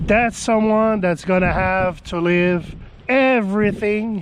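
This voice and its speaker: A man speaks very slowly in a high voice. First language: French. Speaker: business YouTuber. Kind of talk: vlog monologue. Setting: outdoors in snow.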